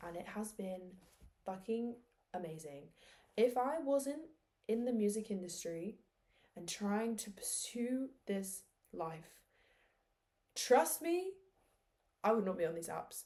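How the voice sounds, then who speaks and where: A woman with a medium pitch and a dark, mellow tone sounds somewhat breathy, her intonation lively. Her loudness swings widely, and long pauses come often. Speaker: music artist vlogger. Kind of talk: video diary. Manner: candid, conversational; fast.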